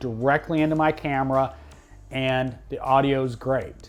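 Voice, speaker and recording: A man's fairly high, monotone voice with flat intonation over music in the background. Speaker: tech YouTuber. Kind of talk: tutorial. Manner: loud.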